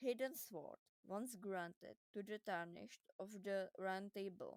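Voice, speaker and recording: With a non-native accent, a woman speaks at a very slow pace and medium pitch, the sound dry and close with no echo. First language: not English. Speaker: gaming lore video creator. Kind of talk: video game lore explainer.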